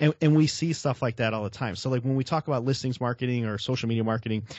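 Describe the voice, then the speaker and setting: The speaker is a man with an American accent. He has medium pitch and ordinary pitch variation. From Chicago, South Side. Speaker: real estate marketing expert. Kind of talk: interview. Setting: video call. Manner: casual, filler-heavy.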